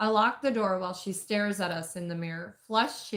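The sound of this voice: Ordinary pitch movement shapes this unforced reading voice.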